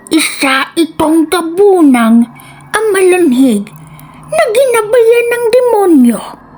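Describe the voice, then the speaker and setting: Very slowly, a woman performs a put-on character voice at an extremely high pitch with very wide pitch swings. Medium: read story. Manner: fearful, pleading.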